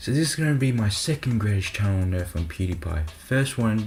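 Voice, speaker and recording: Against music in the background, the speaker talks at a moderate pace. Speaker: YouTube commentary creator. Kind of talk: rant. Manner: casual, conversational.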